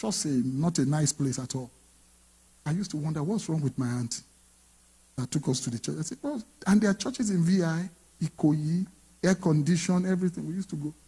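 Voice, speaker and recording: A man talks at a fairly quick pace with long, frequent pauses. His fairly high voice has a dark, mellow tone against a quiet background. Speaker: pastor. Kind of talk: sermon. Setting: church. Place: church. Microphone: handheld.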